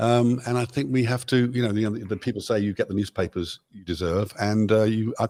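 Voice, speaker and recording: In a British accent, a man talks at a fairly quick pace and medium pitch with ordinary pitch variation and a dark, mellow tone, the sound dry and close with no echo. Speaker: pop musician. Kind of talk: interview answer.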